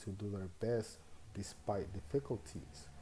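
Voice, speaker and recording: With a Spanish accent, a man speaks at a fairly slow pace in a fairly low, somewhat breathy voice with a dark, mellow tone and ordinary pitch variation. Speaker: student teacher. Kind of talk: reflective monologue. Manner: measured, with hesitations.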